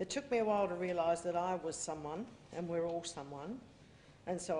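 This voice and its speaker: With an Australian accent, a woman talks at a fairly quick pace in a fairly low, dark, mellow voice. Her pitch varies an ordinary amount, and the room has audible echo. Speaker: activist speaker. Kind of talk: public speech. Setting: convention stage with audience. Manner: fast.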